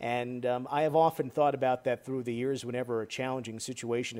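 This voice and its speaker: A man with an American accent speaks in an ordinary speaking voice at a medium pitch. His pace is fairly quick and his intonation fairly even. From northern New Jersey. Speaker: sports broadcaster. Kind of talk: interview.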